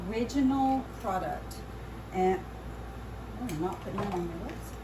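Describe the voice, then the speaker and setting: A woman with a Louisiana accent speaks with long, frequent pauses, heard amid noticeable background noise and audible room echo. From central Louisiana (Tioga, near Alexandria). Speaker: makeup artist. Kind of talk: casual chat while doing makeup. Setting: makeup studio.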